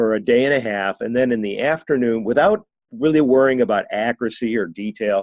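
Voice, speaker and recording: A man talks in a normal speaking voice at medium pitch. His pace is moderate. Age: 60s. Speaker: management accounting consultant. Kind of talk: webinar presentation. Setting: webinar.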